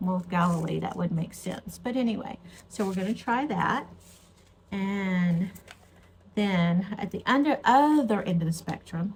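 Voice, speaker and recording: A woman speaks with an American accent at a medium pitch, her voice somewhat breathy. Her intonation is lively, broken by long, frequent pauses. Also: fairly slow pace. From Texas. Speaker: gardening vlogger. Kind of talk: casual vlog chat. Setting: at home with a cup of tea.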